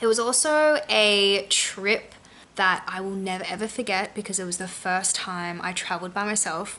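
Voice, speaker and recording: A woman speaks with an Australian accent and ordinary pitch variation. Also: medium pitch for a woman, moderate pace. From Australia, Sydney. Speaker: lifestyle vlogger. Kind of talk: personal vlog narration.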